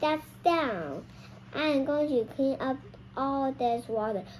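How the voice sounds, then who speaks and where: A woman's high-pitched put-on character voice, raised and projected, at a very slow pace over clear background noise. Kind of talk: children's read-aloud. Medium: read story.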